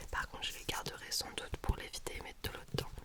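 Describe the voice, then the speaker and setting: Someone whispers at a moderate pace in a relaxed tone over noticeable background noise. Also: woman. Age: 20s. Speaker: ASMR creator, dancer. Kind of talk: ASMR talking with triggers, casual chat to viewer. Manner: relaxed, chatty, soft-spoken.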